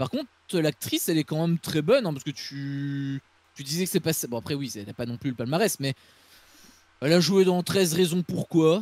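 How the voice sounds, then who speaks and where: With a Belgian accent, a man talks at a fairly quick pace with long, frequent pauses. His pitch is fairly high with ordinary variation, and the sound is dry and close with no echo. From Belgium. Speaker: film critic YouTuber. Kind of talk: casual film review discussion.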